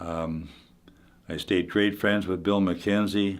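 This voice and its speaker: A man's very deep, low voice in a Manitoban accent, with monotone, flat intonation at a fairly slow pace. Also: very clean recording, silent background. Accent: Canadian (Manitoba). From Canada, Winnipeg, Manitoba. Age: 80s+. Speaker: retired hockey player. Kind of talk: interview reminiscence. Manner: halting, many fillers and repeats.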